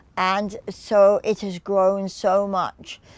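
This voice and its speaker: A woman speaks in a southern English accent. Her pitch is medium. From England, Reading, Berkshire. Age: 80s+. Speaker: dance teacher. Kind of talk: interview answer.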